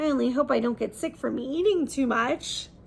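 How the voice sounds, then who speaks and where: Using a put-on character voice, a woman speaks in an anxious tone at a high pitch and a moderate pace, with clear background noise. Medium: read story. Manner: anxious, excitable.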